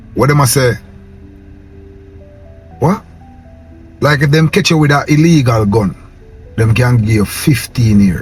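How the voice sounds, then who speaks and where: With music in the background, a man with a Jamaican accent speaks fairly slowly at a medium pitch, his intonation lively, his loudness very even, and his pauses long and frequent. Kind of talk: casual talk to camera.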